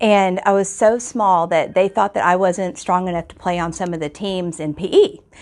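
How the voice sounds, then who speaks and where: With hardly any pauses, this speaker uses a plain, everyday voice with an American accent, a moderate pace and ordinary pitch variation. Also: woman, medium pitch for a woman. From Texas, Houston. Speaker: teacher. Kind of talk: personal testimony.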